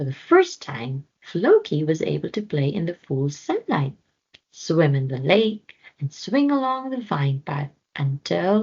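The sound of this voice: A woman's low, slightly mellow voice with a slightly husky edge and vocal fry, big pitch swings, and a fairly slow pace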